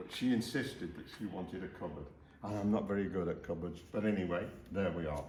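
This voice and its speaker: Talking at a very fast pace, a man with a very deep, low pitch sounds somewhat breathy, and audible room echo surrounds him. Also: ordinary pitch variation. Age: 80s+. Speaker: DIY renovator. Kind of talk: casual chat.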